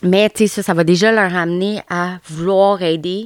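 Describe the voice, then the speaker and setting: A woman speaks with a Quebec accent at a fairly low pitch. Her intonation is fairly even, and the sound is dry and close with no echo. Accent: Québécois French. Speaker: podcast host. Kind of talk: casual solo podcast talk. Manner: hesitant, many fillers and repetitions.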